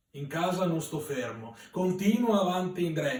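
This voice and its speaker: A man with a Venetian accent speaks at a fairly slow pace. His voice is high in pitch, with ordinary pitch variation. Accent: Veronese dialect. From Verona, Italy. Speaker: poet. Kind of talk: poetry reading.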